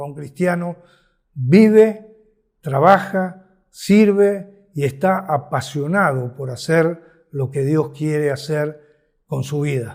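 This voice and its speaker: Very slowly, a man speaks at a fairly high pitch. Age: 70s. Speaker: ministry leader. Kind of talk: sermon. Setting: virtual conference. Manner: passionate, exhorting.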